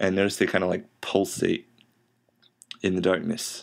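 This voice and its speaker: The recording is very clean, with a silent background. A man talks at a moderate pace in a very deep, low voice with monotone, flat intonation. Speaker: indie game developer. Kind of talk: casual devlog narration over gameplay.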